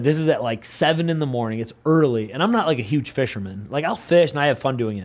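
An American-accented man talks at a very fast pace with a fairly high pitch and lively intonation. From Buffalo, New York. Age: 30s. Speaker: mixed martial arts fighter. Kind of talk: casual interview. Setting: studio.

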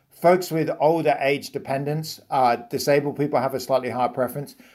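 The delivery moves at a fairly quick pace. The recording is very clean, with a silent background. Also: man. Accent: British. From Britain. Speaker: economics professor. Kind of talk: interview.

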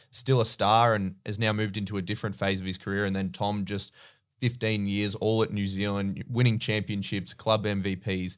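A man with an Australian accent talks at a fairly quick pace in a fairly low voice. The recording is very clean, with a silent background. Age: 20s. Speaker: basketball podcast host. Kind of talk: casual chat.

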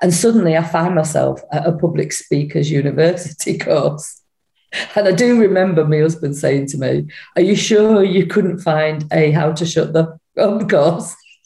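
The voice has a dark, mellow tone and vocal fry. Audible room echo surrounds it. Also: woman, fairly low pitch for a woman, ordinary pitch variation, moderate pace. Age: 50s. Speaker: speaker trainer. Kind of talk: casual chat.

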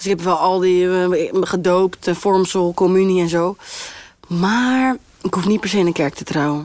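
At a fairly slow pace, a woman talks at a medium pitch with ordinary pitch variation over noticeable background noise. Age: 20s. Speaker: singer. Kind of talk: casual chat.

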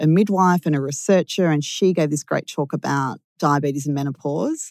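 A woman with an Australian accent and a very deep, low pitch, with ordinary pitch variation, on a very clean recording with a silent background. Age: 40s. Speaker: diabetes advocate with type 1 diabetes. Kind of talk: casual interview chat. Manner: animated.

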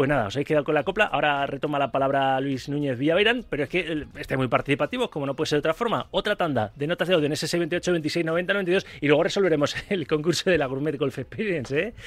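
Talking at a very fast pace with hardly any pauses, a man sounds animated. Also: fairly high pitch for a man, ordinary pitch variation. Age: 40s. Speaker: sports radio host. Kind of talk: live radio sports talk.

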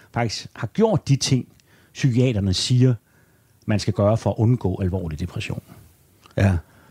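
The man's voice is fairly low, dark and mellow, and somewhat breathy. He speaks at a moderate pace with ordinary pitch variation, in a dry, close sound with no echo. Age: 50s. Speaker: journalist and author. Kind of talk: interview conversation. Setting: at home.

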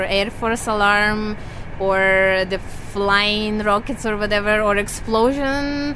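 The speech moves at a very slow pace with audible room echo. Noticeable background noise runs underneath. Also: woman. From Ukraine, Kyiv. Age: 30s. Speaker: returning refugee. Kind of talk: interview. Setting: on a train.

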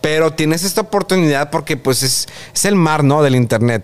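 A man talks at a fairly quick pace in a fairly high pitch. He has an unremarkable speaking voice with ordinary pitch variation. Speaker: TV presenter. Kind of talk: interview.

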